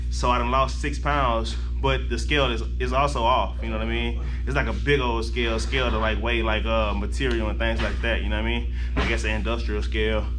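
Faint music plays in the background as a man speaks fairly quickly in a very deep, low pitch with monotone, flat intonation. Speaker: fitness vlogger. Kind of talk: casual vlog chat. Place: gym. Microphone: phone near.

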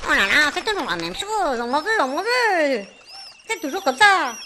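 A put-on character voice, high-pitched with very wide pitch swings, at a moderate pace over clear background noise. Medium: audio drama. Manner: plaintive, repetitive, panicky.

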